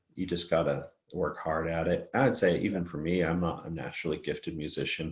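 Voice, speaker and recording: On a very clean recording with a silent background, a man speaks at a moderate pace. His pitch is very deep and low, with fairly even intonation. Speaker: singer-songwriter. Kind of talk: casual chat.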